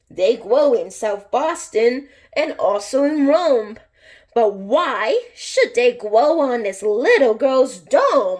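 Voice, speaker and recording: Lively intonation runs through a put-on character voice that moves at a very slow pace. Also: woman, high pitch for a woman. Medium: read story.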